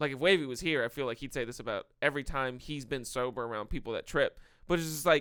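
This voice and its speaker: A loud man at medium pitch, very fast, with a bright, sharp tone and ordinary pitch variation. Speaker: podcast co-host. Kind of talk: casual chat.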